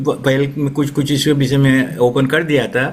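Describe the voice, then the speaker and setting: His voice sits at a fairly high pitch. The man is heard through noticeable background noise and audible room echo. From Suriname. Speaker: retired educator and writer. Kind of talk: interview. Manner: halting.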